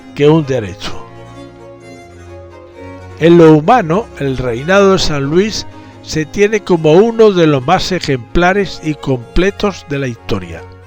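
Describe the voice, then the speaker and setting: Over music in the background, a man with a fairly high pitch speaks at a very slow pace. His pitch swings very widely, broken by long, frequent pauses. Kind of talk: historical narration.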